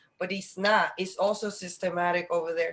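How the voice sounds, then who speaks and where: An unremarkable speaking voice from a woman with an American accent, medium pitch, fairly quick pace. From Dominican Republic, then Virginia. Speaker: panel host, educator. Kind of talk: live panel discussion. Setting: video call.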